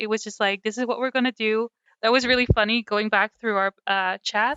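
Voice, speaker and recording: A woman speaks with a strong Dutch accent at a fairly quick pace. Her voice is fairly high, with fairly even intonation. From Netherlands. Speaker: podcast co-host. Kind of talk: casual chat.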